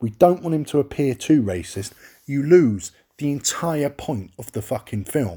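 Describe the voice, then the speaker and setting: A man with a London accent speaks at a fairly high pitch in a dark, mellow tone. His voice is somewhat breathy, with very wide pitch swings. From London, England. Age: 30s. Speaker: podcast host. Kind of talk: solo monologue rant. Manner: animated.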